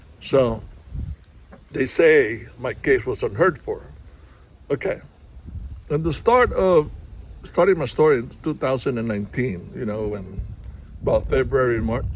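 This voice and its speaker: This man speaks with a Filipino accent at a fairly slow pace. He leaves long, frequent pauses. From Philippines. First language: Tagalog. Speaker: vlogger, heart attack survivor. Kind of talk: personal testimony to camera. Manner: halting, many fillers.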